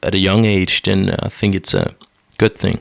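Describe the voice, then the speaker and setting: In a very clean recording with a silent background, a man with an American accent speaks at a moderate pace in a fairly low pitch and a monotone, flat intonation. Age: young. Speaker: podcast co-host, commercial pilot. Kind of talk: casual chat. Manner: halting.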